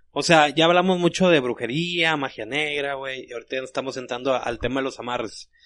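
A man with a fairly high pitch talks at a fairly quick pace with hardly any pauses and ordinary pitch variation, over a quiet background. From Monterrey, Mexico. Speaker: podcast co-host. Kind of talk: casual chat. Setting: studio.

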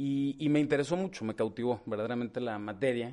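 Against a quiet background, a man speaks at a fairly quick pace. He has an ordinary speaking voice and fairly even intonation. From northern Mexico, La Laguna (Torreón). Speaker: lawyer. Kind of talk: interview. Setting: in person.

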